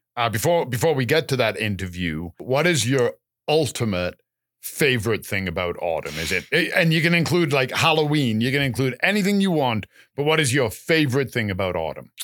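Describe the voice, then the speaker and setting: A man with a Canadian accent speaks at a fairly quick pace, with very wide pitch swings and vocal fry. The recording is very clean with a silent background. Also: medium pitch for a man. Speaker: podcast co-host, gardener. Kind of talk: casual chat. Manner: hesitant, many fillers.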